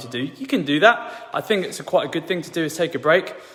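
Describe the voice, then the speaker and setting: Talking at a very fast pace with lively intonation, a man with a high voice is heard over noticeable background noise. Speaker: fitness and lifestyle coach. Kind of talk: tutorial. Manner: casual, conversational with fillers.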